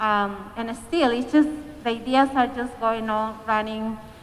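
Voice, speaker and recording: A woman's fairly high voice with a Spanish accent and fairly even intonation. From Peru. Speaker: community organizer. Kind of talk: panel discussion.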